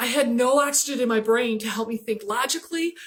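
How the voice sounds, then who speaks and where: A woman's high pitch carries her speech along at a moderate pace. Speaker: leadership coach and speaker. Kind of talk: motivational talk. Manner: animated storytelling.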